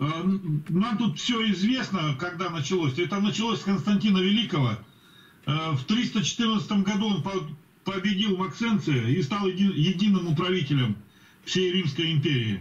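A man speaks in a high voice at a fairly slow pace. His intonation is lively and his loudness very even. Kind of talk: group Bible study discussion. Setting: video call.

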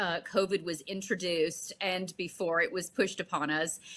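A woman is the one talking. She has a bright, sharp tone. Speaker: actress. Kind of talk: interview. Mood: earnest, emotional.

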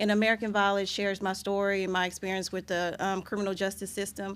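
A woman speaks at a medium pitch. Her tone is fairly bright.

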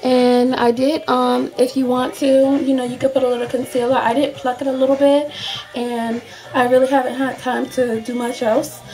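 Faint music plays behind a woman who speaks at a moderate pace in a high-pitched, flat monotone. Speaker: beauty product reviewer. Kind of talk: casual talk to camera. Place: home room. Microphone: webcam.

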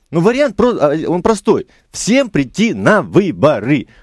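A man's voice in a quiet background, with a dry sound and no echo. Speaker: member of parliament; politician guest. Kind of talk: radio talk show interview. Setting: radio studio. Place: studio.

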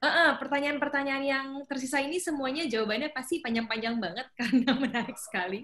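A woman's high pitch with ordinary pitch variation, a very fast pace and hardly any pauses. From North Sumatra. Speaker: webinar moderator. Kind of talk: webinar moderation. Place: home room. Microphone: video call.

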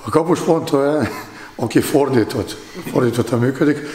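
A man at a moderate pace with ordinary pitch variation, in audible room echo. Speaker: handball goalkeeping coach; handball goalkeeper coach. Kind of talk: sports interview. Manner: halting, frequent fillers. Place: empty room.

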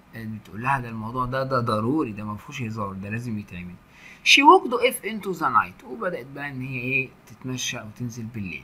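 A man at a medium pitch and fairly quick pace, with ordinary pitch variation and noticeable background noise. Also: hardly any pauses, big swings in loudness. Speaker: English teacher. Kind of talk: lecture.

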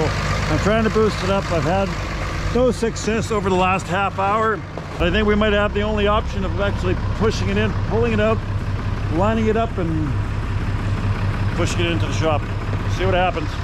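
A man talks at a moderate pace with long, frequent pauses. The sound is dry with no echo, but loud background noise runs underneath. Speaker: farmer doing tractor repair. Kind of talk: casual vlog chat. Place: farm machine. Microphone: phone near.

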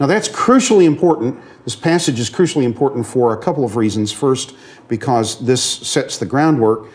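Here a man is speaking. His intonation is lively. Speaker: seminary professor. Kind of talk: lecture. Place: classroom.

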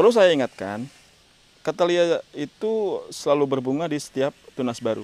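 A man speaks at a moderate pace with lively intonation, and the sound is dry with no echo. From Indonesia. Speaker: orchid seller. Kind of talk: sales pitch. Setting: showing plant on camera. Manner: persuasive, upbeat, confident; fluent but with frequent filler pauses. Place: garden. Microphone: phone near.

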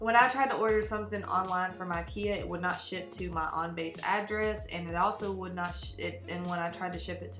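A woman talks fairly quickly while music sounds clearly behind her. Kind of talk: casual vlog chat. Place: home room. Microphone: webcam.

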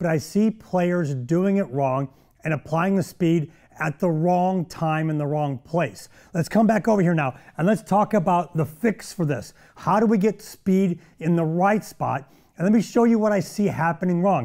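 High-pitched male voice with a dark, mellow tone, a moderate pace and a quiet background. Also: ordinary pitch variation. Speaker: golf show host. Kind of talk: tutorial. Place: studio.

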